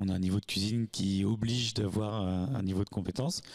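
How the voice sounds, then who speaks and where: An unremarkable speaking voice belongs to a man with a fairly low pitch. His intonation stays fairly even. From Normandy, France (Sainte-Marie-du-Mont). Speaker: restaurant and hotel owner. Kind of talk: interview. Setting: at a campsite. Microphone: handheld.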